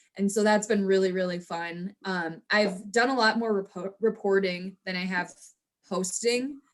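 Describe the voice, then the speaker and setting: At a moderate pace, a woman speaks in an ordinary speaking voice of medium pitch with fairly even intonation. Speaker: sports team host and reporter. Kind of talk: interview.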